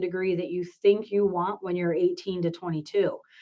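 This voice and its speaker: A woman with a plain, everyday voice speaks in a medium pitch at a moderate pace. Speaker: program director / professor. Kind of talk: virtual information session presentation.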